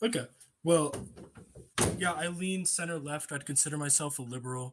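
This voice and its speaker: A fairly quick, somewhat breathy man's voice, fairly high in pitch with ordinary variation and long, frequent pauses. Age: 18. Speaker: random video chat participant. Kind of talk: casual debate.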